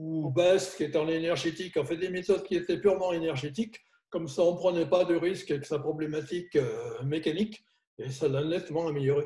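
A man's high-pitched voice, dark and mellow in tone, with fairly even intonation at a fairly quick pace. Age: 70s. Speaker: chiropractor. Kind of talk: interview. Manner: hesitant, many fillers.

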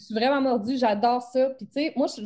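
A woman with a Beauce accent has a dark, mellow tone and ordinary pitch variation, heard in a very clean recording with a silent background. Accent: Quebec French, rural Beauce-style. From Quebec. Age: 20s. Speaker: photography business coach. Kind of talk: interview. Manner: casual, teen-like slang.

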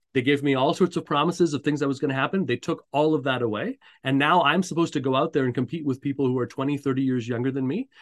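The speaker talks at a very fast pace with a Canadian accent and fairly even intonation. The sound is dry and close, with no echo. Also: man, fairly high pitch for a man, quiet background. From Montreal, Canada. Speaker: career coach. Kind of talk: interview. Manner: hesitant with many fillers.

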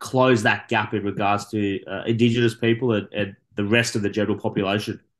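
Fairly quick speech from a man with an Australian accent, medium in pitch, over a quiet background. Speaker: sports podcast host. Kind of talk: sports news roundup; casual chat.

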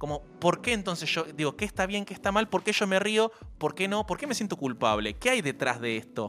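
Music plays behind a man whose high voice moves at a fairly quick pace with very wide pitch swings. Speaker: radio host. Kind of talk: casual chat.

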